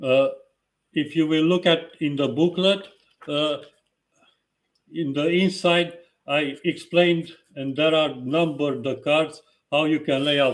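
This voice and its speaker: Slow-ish and marked by long, frequent pauses, a man with a strong non-native accent speaks with fairly even intonation. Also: fairly high pitch for a man. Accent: strong foreign. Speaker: tarot reader. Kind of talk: live stream talk. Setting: live video stream. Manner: halting.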